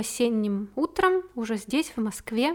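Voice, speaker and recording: Lively intonation marks this woman's fairly high voice. She speaks at a very slow pace. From Siberia, small town in Krasnoyarsk Krai. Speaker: podcaster and amateur poet. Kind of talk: personal monologue podcast; reading own poetry aloud. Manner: heartfelt, expressive reading.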